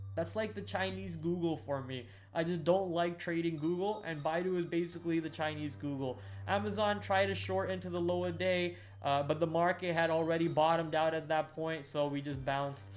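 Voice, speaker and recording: With audible room echo, a man talks at a fairly quick pace in a fairly high voice that swings very widely in pitch. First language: not English. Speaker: day trader streamer. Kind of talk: live stream trading recap. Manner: casual, hesitant with fillers.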